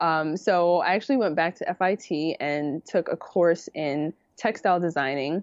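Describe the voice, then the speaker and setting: Speaking in a New York accent at a moderate pace with hardly any pauses, a woman uses a fairly low pitch with ordinary pitch variation. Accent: New York City. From New York City (the Bronx). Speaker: apparel design consultant and podcaster. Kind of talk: interview, casual chat. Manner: animated, laughs often.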